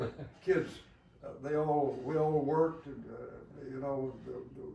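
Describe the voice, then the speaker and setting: With an American accent, a man speaks over noticeable background noise with audible room echo. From US South. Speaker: war veteran. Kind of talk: interview. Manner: halting.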